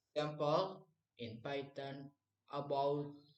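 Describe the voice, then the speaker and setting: A man talks very slowly, his pitch sitting fairly high. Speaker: university student. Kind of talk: class presentation. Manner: halting.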